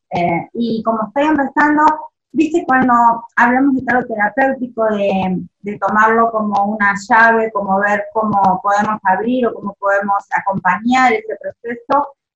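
This is an ordinary speaking voice at a fairly slow pace, with ordinary pitch variation. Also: woman, fairly high pitch for a woman. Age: 40s. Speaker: listener and beginner tarot reader. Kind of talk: casual chat. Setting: video call.

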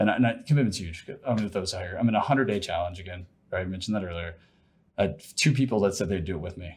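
Over a silent background in a very clean recording, a man talks at a very fast pace with fairly low pitch and ordinary pitch variation. His voice is somewhat breathy and swings widely in loudness. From Ohio. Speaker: sales executive and ultra-runner. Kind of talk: interview conversation.

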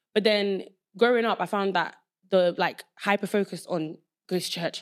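A woman speaks with a Southeast London accent and fairly even intonation. The recording is very clean, with a silent background. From Nigeria, raised in London from age seven. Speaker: podcast host. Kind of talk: casual chat.

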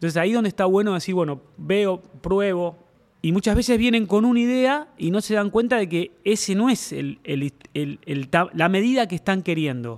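This voice carries a Rioplatense accent at a moderate pace. The intonation is lively. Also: man, high pitch for a man. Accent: Argentine Spanish (rioplatense). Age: 50s. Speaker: drum maker. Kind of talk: interview. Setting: workshop. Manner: halting.

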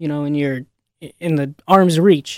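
With an American accent, a man talks at a fairly quick pace in a dark, mellow tone with ordinary pitch variation and a dry, close sound with no echo. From Chicago area, Illinois. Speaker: college radio sports pundit. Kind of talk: casual sports chat. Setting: studio.

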